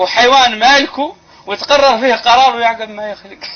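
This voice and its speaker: A man with a Mauritanian accent speaks at a moderate pace over noticeable background noise. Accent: Hassaniya Arabic. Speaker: Islamic preacher. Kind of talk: religious sermon.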